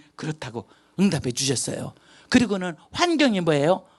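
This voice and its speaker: Over a quiet background, a woman speaks at a fairly quick pace in an animated tone with vocal fry and very wide pitch swings. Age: 60s. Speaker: missionary. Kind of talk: testimony.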